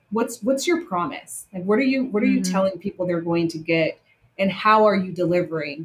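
Here a woman talks with an American accent at a medium pitch. Her voice is somewhat breathy. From Las Vegas, US. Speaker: hospitality consultant. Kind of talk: interview. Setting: video call.

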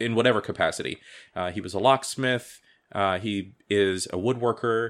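Recorded very cleanly against a silent background, a man with an American accent speaks at a moderate pace in an ordinary speaking voice, medium in pitch with fairly even intonation. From Ohio, US (Cleveland, then Columbus). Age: 40s. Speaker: freemason, podcast guest. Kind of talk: casual chat.

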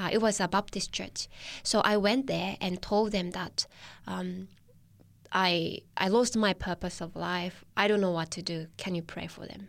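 The speaker has a Japanese accent and fairly even intonation. The recording is very clean, with a silent background. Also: woman, medium pitch for a woman. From Japan, Tochigi. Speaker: church Bible worker. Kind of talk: personal testimony interview. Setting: studio. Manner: hesitant, frequent fillers.

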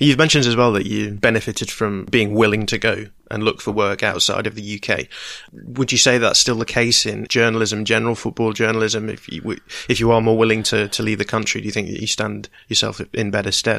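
Over a silent background in a very clean recording, a man at medium pitch speaks in a flat monotone, his bright, sharp tone edged with vocal fry. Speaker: podcast host. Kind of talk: interview intro and questions.

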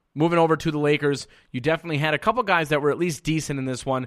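On a very clean recording with a silent background, a man speaks at a fairly high pitch. He has an unremarkable speaking voice with ordinary pitch variation. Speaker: sports radio host. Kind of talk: live sports commentary, recapping games play by play. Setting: studio.

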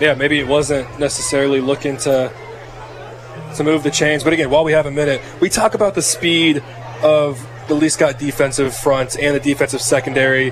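Music plays in the background as a man talks at a fairly quick pace, with fairly high pitch, fairly even intonation and very even loudness. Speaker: color analyst. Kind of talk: live football color commentary and analysis. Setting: press box broadcast booth at stadium. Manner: analytical, measured, and explanatory.

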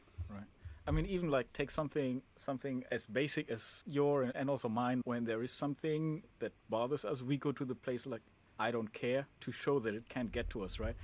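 A man with an ordinary speaking voice at a medium pitch, fairly quick pace, very clean recording and silent background. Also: ordinary pitch variation. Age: 30s. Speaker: podcast co-host. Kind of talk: casual chat.

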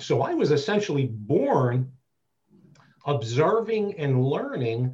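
A man with an American accent speaks in a fairly high pitch and a somewhat breathy voice. His intonation is lively and his pace fairly slow. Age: 50s. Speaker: BDSM community dominant and mentor. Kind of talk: interview conversation.

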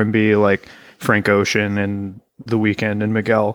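A man with an unremarkable speaking voice talks at a fairly slow pace and medium pitch. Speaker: podcast guest. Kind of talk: casual chat.

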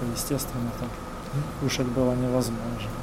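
Audible room echo and noticeable background noise fill the recording. A man talks at a fairly quick pace and a medium pitch, with monotone, flat intonation. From Kherson, southern Ukraine. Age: 40s. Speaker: local councillor and volunteer, former captive. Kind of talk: testimony interview.

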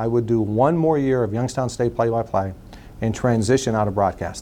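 A man's plain, everyday voice, medium in pitch with ordinary pitch variation. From western Pennsylvania (New Castle, Pittsburgh area). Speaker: nonprofit executive. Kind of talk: interview.

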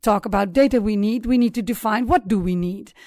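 A woman at medium pitch with ordinary pitch variation, on a very clean recording with a silent background. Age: 50s. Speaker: supply chain consultant and company founder. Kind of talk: interview. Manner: halting with frequent fillers.

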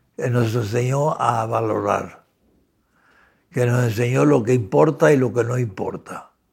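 Somewhat breathy, a man talks at a fairly slow pace in a medium pitch with ordinary pitch variation. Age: 80s+. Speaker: academic thinker on ethics and philosophy. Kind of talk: interview conversation.

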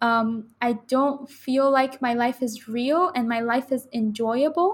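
A woman speaks with a Persian accent at a high pitch. Her intonation is fairly even, and the recording is very clean with a silent background. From Iran, Tehran. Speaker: university student. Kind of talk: interview conversation. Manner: halting.

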